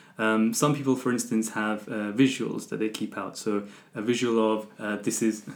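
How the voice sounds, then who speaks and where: A man speaks in a flat monotone at a fairly low pitch. His pace is moderate. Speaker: podcast host. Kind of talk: casual interview chat.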